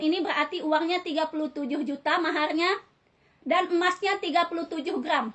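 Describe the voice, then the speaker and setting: A woman's extremely high pitch over fairly even intonation. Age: 30s. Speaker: civil servant, hospital administrative staff. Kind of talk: self-recorded personal appeal to viewers. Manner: repetitive, halting.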